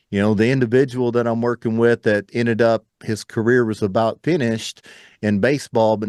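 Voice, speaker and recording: Against a quiet background, a man with a plain, everyday voice talks at a fairly quick pace in a medium pitch with fairly even intonation, the sound dry and close with no echo. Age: 40s. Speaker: entrepreneur and mindset coach. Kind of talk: interview podcast.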